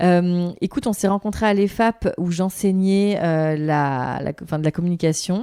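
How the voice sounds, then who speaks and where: Over a very clean recording with a silent background, a woman speaks at a moderate pace in a fairly low pitch with a dark, mellow tone, ordinary pitch variation and hardly any pauses. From Africa, abroad. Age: 30s. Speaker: communication agency director and podcast host. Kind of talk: interview conversation. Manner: hesitant, many fillers.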